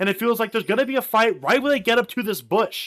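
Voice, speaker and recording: Loud and animated in tone, a man talks at a very fast pace. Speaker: esports caster. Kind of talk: live commentary.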